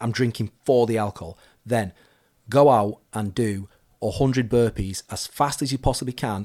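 The recording is very clean with a silent background and a dry, close sound with no echo, as a man speaks at a moderate pace in a medium pitch with ordinary pitch variation. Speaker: fitness coach and podcast host. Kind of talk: casual advice Q&A chat. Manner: conversational, hesitant with fillers.

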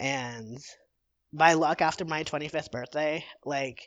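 This man has an American accent and speaks at a very slow pace. His intonation stays fairly even. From Illinois, Chicago suburbs. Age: 20s. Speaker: mental health advocacy volunteer. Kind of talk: casual interview.

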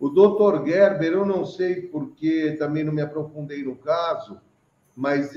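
With a normal speaking voice, a man talks at a fairly slow pace, keeping a fairly high pitch and fairly even intonation. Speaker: online show host. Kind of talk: casual chat. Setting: video call.

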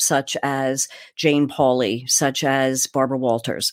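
Female speech, recorded very cleanly against a silent background. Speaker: broadcast voice coach. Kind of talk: interview.

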